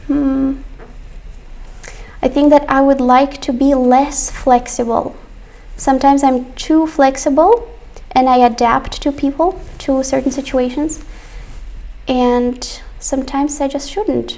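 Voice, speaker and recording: A high-pitched woman speaks at a very slow pace with long, frequent pauses, against noticeable background noise. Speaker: English teacher. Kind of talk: online class. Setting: live stream.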